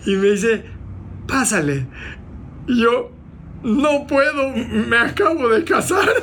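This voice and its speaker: Speaking at a very slow pace with long, frequent pauses, a man uses an extremely high pitch that swings very widely while his loudness stays very even. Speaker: motivational speaker and entrepreneur. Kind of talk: casual interview.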